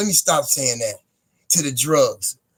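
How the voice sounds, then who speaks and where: A man with an American accent speaks at a fairly quick pace, his fairly high pitch moving in lively intonation. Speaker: live streamer. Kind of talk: casual livestream monologue. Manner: halting, repetitive.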